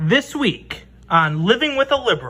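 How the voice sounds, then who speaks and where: A put-on character voice, fairly high in pitch, with very wide pitch swings and a moderate pace. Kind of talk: TV show intro announcer. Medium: comedy sketch.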